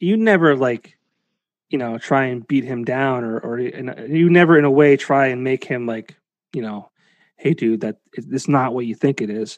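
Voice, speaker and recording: The man has an unremarkable speaking voice at medium pitch, with ordinary pitch variation and a moderate pace. The sound is dry and close with no echo, over a quiet background. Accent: American. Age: 30s. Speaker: podcast host. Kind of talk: casual chat.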